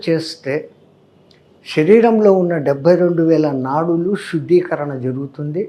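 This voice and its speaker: His pitch sits high for a man. The intonation moves in a lively way. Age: 80s+. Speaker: yoga and breathing teacher. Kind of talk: interview. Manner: explanatory.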